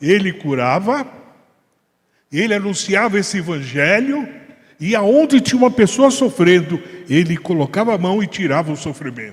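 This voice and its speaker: Pausing long and often, a man with a high-pitched voice talks at a moderate pace while his pitch swings very widely. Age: 70s. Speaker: Bible study teacher. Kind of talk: Bible study discussion.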